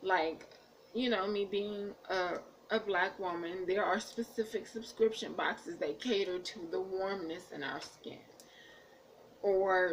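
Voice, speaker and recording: A woman with an American accent at a fairly slow pace, with ordinary pitch variation. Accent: Jersey accent turning Southern. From New Jersey / Washington DC. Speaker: beauty vlogger. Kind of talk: casual vlog chat. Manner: halting.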